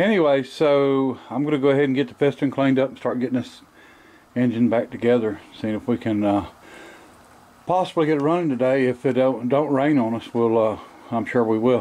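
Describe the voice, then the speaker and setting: A man with a dark, mellow tone speaks at a fairly quick pace, with ordinary pitch variation. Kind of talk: casual workshop commentary. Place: garage. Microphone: phone near.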